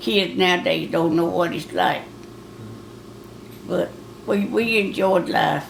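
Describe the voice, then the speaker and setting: A woman with a Southern US accent speaks at a very slow pace, leaving long, frequent pauses over noticeable background noise. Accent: rural Southern American. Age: 70s. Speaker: grandmother. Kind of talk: interview answer. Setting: home recording for a time capsule project.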